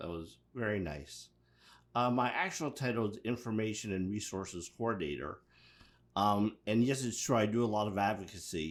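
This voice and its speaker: A man with an American accent speaks at a moderate pace in a plain, everyday voice, fairly low in pitch with ordinary pitch variation, on a very clean recording with a silent background. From Pittsburgh, US. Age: 60s. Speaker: mental health resources coordinator. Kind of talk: interview.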